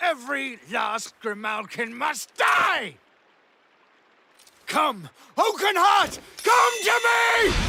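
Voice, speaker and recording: A put-on character voice shouts at a high pitch with very wide pitch swings. The pace is very slow, broken by long, frequent pauses. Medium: video game. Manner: commanding, impassioned.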